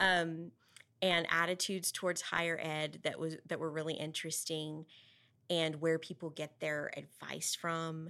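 Over a silent background in a very clean recording, a woman with a West Texas accent speaks in a bright, sharp tone at a fairly low pitch. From Texas Panhandle (Amarillo). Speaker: school board member and education advocate. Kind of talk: interview.

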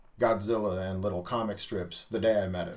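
Speaking with a Midwestern American accent, a man keeps a fairly quick pace. His intonation stays fairly even. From US Midwest, Omaha, Nebraska. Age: middle-aged. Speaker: tattoo artist and shop owner. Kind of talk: casual interview. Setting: small studio.

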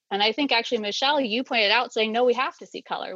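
The voice has a bright, sharp tone and an American accent, with ordinary pitch variation. The sound is dry and close, with no echo. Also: woman. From US Midwest. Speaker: stay-at-home mother. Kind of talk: panel conversation.

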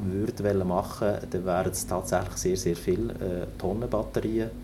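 Over noticeable background noise and audible room echo, a man speaks at a moderate pace with ordinary pitch variation. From northern Germany, near Hamburg. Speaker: naval engineer. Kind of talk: interview. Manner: halting, many fillers.

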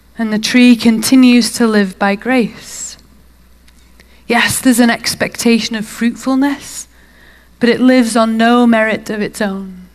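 A woman speaks with a British accent in a fairly high voice. Her delivery is fairly slow, with monotone, flat intonation. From UK England.

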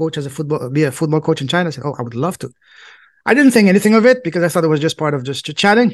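Talking at a very fast pace with lively intonation, a man with a high pitch speaks in a French accent. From southwest France. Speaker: podcast host and coach. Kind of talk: casual interview. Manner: halting, with fillers.

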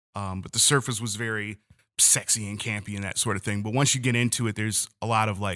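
A man speaks in a bright, sharp tone. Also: very clean recording, silent background. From Detroit, Michigan. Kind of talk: casual interview chat.

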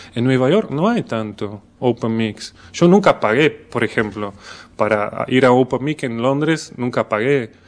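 Against a quiet background, a man talks at a fairly slow pace in a medium pitch with ordinary pitch variation, an unremarkable speaking voice. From Belgium. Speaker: comedian. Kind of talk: casual chat.

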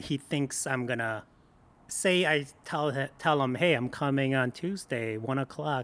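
This is a man with an ordinary speaking voice, talking at a moderate pace. The recording is very clean, with a silent background. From Michigan, born in Korea. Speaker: food blogger and photographer. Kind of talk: casual interview chat. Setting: studio.

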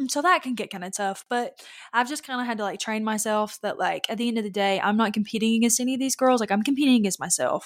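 A woman talks at a very fast pace with a Southern US accent and a fairly high pitch. Her pitch varies in an ordinary way, and the recording is very clean with a silent background. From Louisiana. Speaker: pageant competitor. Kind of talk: casual interview chat.

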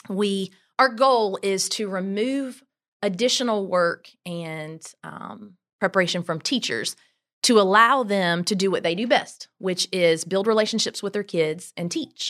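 A woman in a South Carolina accent talks at a fairly slow pace and medium pitch with ordinary pitch variation, on a very clean recording with a silent background. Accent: Southern US (South Carolina). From US South, Greenville, South Carolina. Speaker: travel company owner, former teacher. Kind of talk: interview.

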